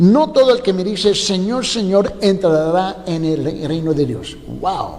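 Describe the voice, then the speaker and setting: A loud, high-pitched man's voice with lively intonation, amid audible room echo and noticeable background noise. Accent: non-native. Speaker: pastor. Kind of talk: sermon. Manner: loud voice.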